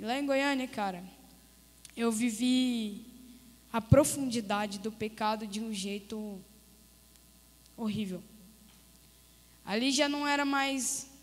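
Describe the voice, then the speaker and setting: This woman's voice sits fairly high in pitch. She speaks at a fairly slow pace with fairly even intonation. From Goiás, Brazil (Crixás). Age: 30s. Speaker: missionary giving testimony. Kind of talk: testimony. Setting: church service.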